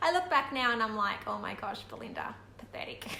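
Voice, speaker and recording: The speech moves at a fairly quick pace. There is noticeable background noise and audible room echo. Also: woman. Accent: Australian. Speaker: vlogger. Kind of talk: casual live video chat. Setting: at home. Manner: quiet.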